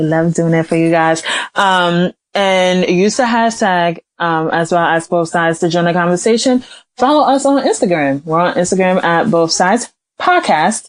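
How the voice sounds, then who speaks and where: This woman's voice holds a very even loudness throughout. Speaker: podcast co-host. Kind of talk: casual chat. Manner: loud, projecting voice; energetic, bouncy delivery.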